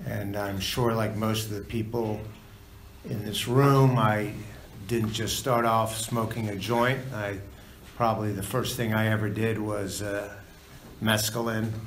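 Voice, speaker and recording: The speaker has an American accent and talks at a fairly slow pace with long, frequent pauses and monotone, flat intonation. Audible room echo and noticeable background noise are present. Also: man. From United States. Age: 60s. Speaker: recovery meeting speaker. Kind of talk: testimony. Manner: halting.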